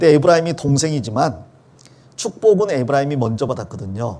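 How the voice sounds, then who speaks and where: Lively intonation and a dark, mellow tone mark this man's fairly high-pitched voice, delivered at a fairly quick pace. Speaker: pastor. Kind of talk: sermon. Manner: explanatory, conversational.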